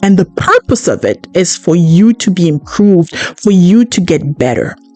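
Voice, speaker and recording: A woman's animated voice with lively intonation, music in the background. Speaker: podcast host. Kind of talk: podcast monologue. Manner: loud.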